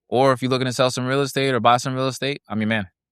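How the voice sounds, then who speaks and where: Recorded very cleanly against a silent background, a man talks at a medium pitch in a dry, close sound with no echo. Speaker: business broker. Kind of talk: casual interview chat. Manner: animated.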